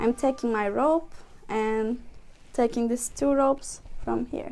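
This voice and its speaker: With a non-native accent, a woman speaks very slowly in a high voice with a dark, mellow tone and fairly even intonation. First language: not English. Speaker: workshop instructor, volunteer. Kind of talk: tutorial. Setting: live stream. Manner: halting.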